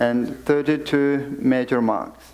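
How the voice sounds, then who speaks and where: With a Tibetan accent, a man speaks at a fairly high pitch using fairly even intonation. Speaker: Buddhist teacher (khenpo). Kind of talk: dharma teaching.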